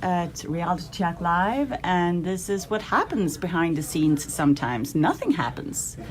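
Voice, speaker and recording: With music in the background, a woman with a Swedish accent speaks at a moderate pace and fairly low pitch, with hardly any pauses. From Sweden. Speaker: live stream camera operator, intern. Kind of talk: casual chat. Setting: studio.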